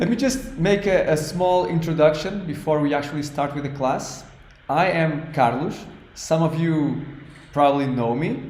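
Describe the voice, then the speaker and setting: In a room with audible echo and noticeable background noise, a man with a Portuguese accent speaks at a moderate pace in a fairly high pitch with lively intonation. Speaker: language teacher. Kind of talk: online class. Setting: online class. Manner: halting.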